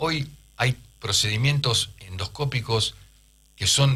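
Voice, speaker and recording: A man with a Rioplatense accent and ordinary pitch variation. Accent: Argentine Rioplatense Spanish. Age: 60s. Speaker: urologist. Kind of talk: radio interview. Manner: halting.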